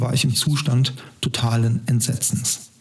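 Noticeable background noise surrounds the recording. A man speaks at medium pitch. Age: 50s. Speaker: podcast host. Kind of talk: scripted narration.

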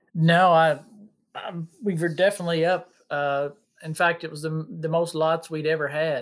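In a very clean recording with a silent background, a man speaks. He has an American accent and keeps a moderate pace. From Kentucky (Bullitt County, near Louisville). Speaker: agricultural extension agent. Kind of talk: casual interview. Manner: hesitant, many fillers and repeats.

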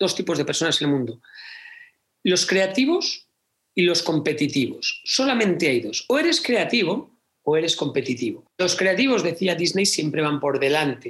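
This man's pitch is high and swings very widely. He keeps a moderate pace. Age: 40s. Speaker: theatre producer and speaker. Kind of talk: interview conversation.

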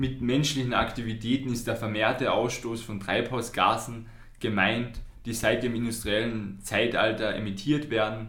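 With a Carinthian accent, a man speaks at a medium pitch and a moderate pace in a monotone, flat delivery, with audible room echo around him. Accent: Carinthian Austrian. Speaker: youth climate podcast co-host, climate activist. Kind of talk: casual podcast conversation. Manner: halting.

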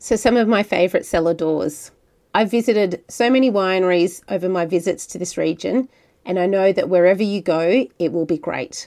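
In an Australian accent, a dark, mellow voice with ordinary pitch variation moves at a moderate pace on a very clean recording with a silent background. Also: woman, medium pitch for a woman. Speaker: podcast host. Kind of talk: podcast narration and interview. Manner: friendly, conversational.

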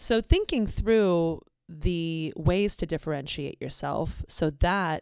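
A woman with an ordinary speaking voice talks at a fairly low pitch with ordinary pitch variation, and the very clean recording has a silent background and a dry, close sound with no echo. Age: 40s. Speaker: podcast host. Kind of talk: solo podcast monologue. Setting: home recording in the evening.

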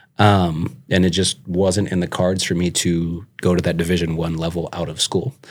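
Over a very clean recording with a silent background, a man with an American accent speaks at a moderate pace in a very deep, low pitch and a monotone, flat intonation. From Minnesota, Twin Cities area. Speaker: business owner and college coach. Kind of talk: casual interview.

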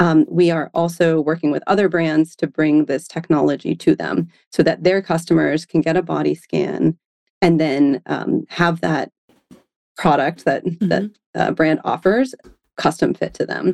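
A woman with a very deep, low voice and vocal fry speaks at a moderate pace with ordinary pitch variation, in a dry, close sound with no echo. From Maine (Auburn). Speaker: fashion technology company co-founder. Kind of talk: interview.

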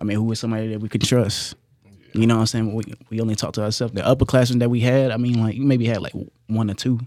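A man speaks very fast in a flat monotone. His tone is dark and mellow. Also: medium pitch for a man. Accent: American. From Kentucky, Hopkinsville. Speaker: college football player. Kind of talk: casual chat.

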